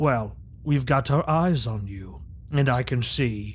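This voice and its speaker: Using a put-on character voice at medium pitch, a man talks at a fairly slow pace over clear background noise. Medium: actual play. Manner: formal, imperious.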